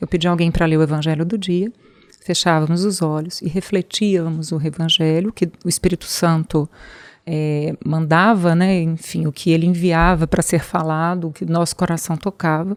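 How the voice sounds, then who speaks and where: This woman has a fairly low pitch and a monotone, flat intonation. She speaks at a moderate pace in a dry, close sound with no echo. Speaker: oncologist and hospital founder. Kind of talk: interview.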